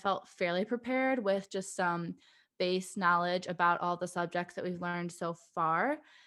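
A woman speaks at a moderate pace in a medium pitch, with an American accent and fairly even intonation. She has an ordinary speaking voice, heard against a quiet background. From Michigan, US. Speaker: dental student. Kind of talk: interview.

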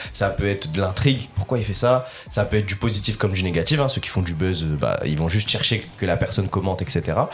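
With music playing behind him, a man talks at a fairly quick pace in a fairly low pitch with lively intonation. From northern France, Lille area. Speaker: basketball content creator. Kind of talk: casual chat.

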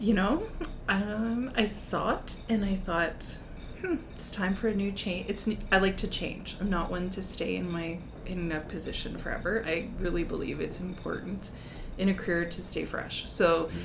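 A woman with a Canadian Prairies accent, medium pitch, ordinary pitch variation and a moderate pace, amid noticeable background noise and audible room echo. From rural Saskatchewan, near Belle Plaine. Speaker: school vice principal. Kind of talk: casual interview chat.

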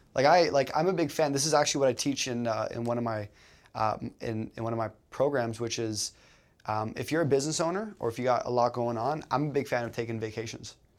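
Speaking very fast with a Canadian accent, a man shows ordinary pitch variation. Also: medium pitch for a man. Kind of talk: casual conversation.

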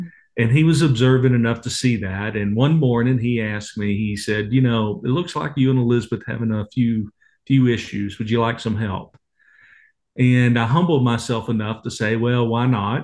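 This speaker has a Texas accent. The pace is moderate. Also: man, medium pitch for a man, ordinary pitch variation. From Texas (Waco). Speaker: ministry leader, author and speaker. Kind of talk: interview conversation.

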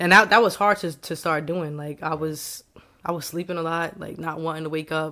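A woman's fairly low, bright and sharp voice with an American accent, fairly quick and fairly even in intonation, with big swings in loudness on a very clean recording with a silent background. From New York. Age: 20s. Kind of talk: casual chat.

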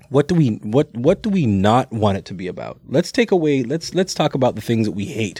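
A man's plain, everyday voice at a moderate pace with lively intonation, recorded dry and close with no echo, very clean against a silent background. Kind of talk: casual chat.

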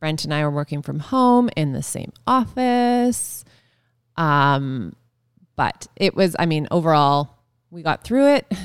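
With a Canadian accent, a woman talks at a very slow pace in a very deep, low pitch. Her pitch swings very widely, and the recording is very clean with a silent background. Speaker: former event planner and podcast co-host. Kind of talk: casual chat. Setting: studio.

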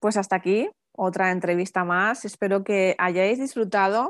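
Against a quiet background, a woman speaks very slowly with fairly even intonation. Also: dry, close sound with no echo. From Basque Country, San Sebastián. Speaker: podcast host, mother. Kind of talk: casual interview. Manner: halting, many fillers and repetitions.

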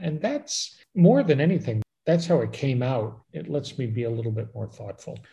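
This voice has a dark, mellow tone, is somewhat breathy, and speaks with an American accent. Its intonation is lively and its pace moderate. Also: man. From Chicago, US. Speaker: travel podcast host. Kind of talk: casual interview chat.

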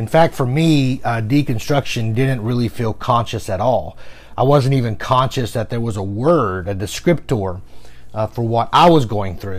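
This is a man with an unremarkable speaking voice at medium pitch. He keeps a moderate pace with ordinary pitch variation. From US South. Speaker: podcaster, former pastor. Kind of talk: personal storytelling monologue.

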